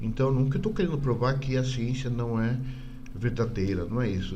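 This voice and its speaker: A man's voice carries audible room echo. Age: 60s. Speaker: UFO blogger and YouTuber. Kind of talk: casual monologue. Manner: halting, many fillers and repetitions.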